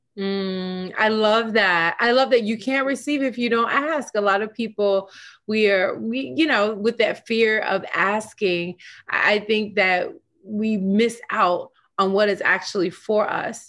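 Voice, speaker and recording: A woman speaks at a fairly slow pace in a plain, everyday voice, with a fairly high pitch and ordinary pitch variation. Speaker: podcast host. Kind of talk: interview.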